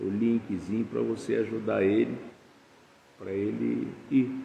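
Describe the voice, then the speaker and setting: A man talks in a space with audible room echo, noticeable background noise behind him. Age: 70s. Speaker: pastor. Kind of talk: sermon. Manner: casual, conversational.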